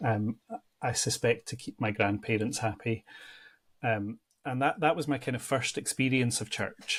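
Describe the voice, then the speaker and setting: A man with a Central Belt Scottish accent speaks at a medium pitch and a moderate pace. His voice is somewhat breathy, with fairly even intonation. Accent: Scottish, between Edinburgh and Glasgow. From Scotland, near Edinburgh. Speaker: church ministry adviser. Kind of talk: interview. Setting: podcast.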